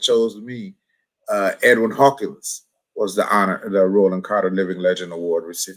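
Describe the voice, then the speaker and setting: Fairly low in pitch, a man with an American accent speaks in a normal speaking voice with fairly even intonation. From US Midwest, Milwaukee, Wisconsin. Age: 60s. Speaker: gospel musician. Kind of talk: casual interview.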